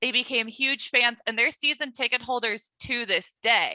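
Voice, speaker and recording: A woman with an American accent speaks at a high pitch and moderate pace in a raised, projected voice. Her tone is bright and sharp, and the sound is dry and close with no echo. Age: 20s. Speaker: podcast host. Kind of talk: casual interview.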